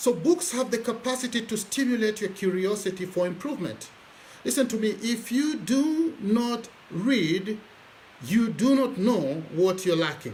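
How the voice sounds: A man talks at a high pitch and a fairly slow pace, with lively intonation and a slightly mellow tone. Audible room echo surrounds his voice.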